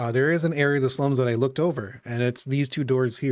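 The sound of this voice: Reading aloud in an unforced voice.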